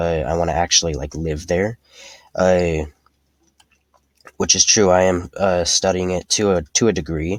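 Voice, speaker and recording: A man speaks at a moderate pace in a very deep, low voice with fairly even intonation and long, frequent pauses. The sound is dry and close with no echo. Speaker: gaming video creator. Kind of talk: casual chat. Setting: sitting in a closet. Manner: halting.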